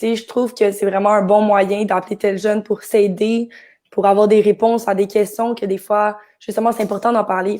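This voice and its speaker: A woman talks at a fairly quick pace in a monotone, flat intonation, her medium-pitched voice dark and mellow in tone. The recording is very clean with a silent background. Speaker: actress. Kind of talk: live stream chat. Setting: Facebook live.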